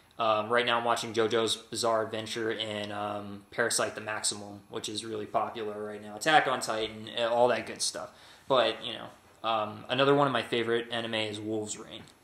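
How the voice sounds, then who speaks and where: A man with an American accent talks at a fairly quick pace, with hardly any pauses, at medium pitch in a monotone, flat intonation. Audible room echo and noticeable background noise surround him. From Texas. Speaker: vlogger. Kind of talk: casual vlog. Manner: halting, many fillers.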